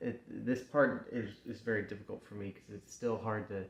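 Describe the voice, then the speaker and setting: A man talks with fairly even intonation in a somewhat breathy voice. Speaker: backyard wrestler. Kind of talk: personal promo speech to camera. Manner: halting, emotional, hesitant.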